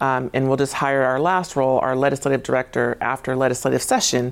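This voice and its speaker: A woman speaks at a moderate pace in a very deep, low voice with vocal fry. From Tacoma, Washington. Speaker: state government agency director. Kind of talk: studio interview. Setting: TV studio. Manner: hesitant, many fillers.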